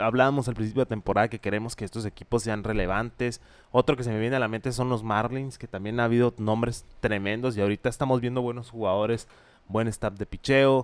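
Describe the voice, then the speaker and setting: Dry and close with no echo, a man's medium-pitched voice races along at a very fast pace in a monotone, flat delivery. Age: 20s. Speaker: baseball podcast co-host. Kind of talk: casual chat.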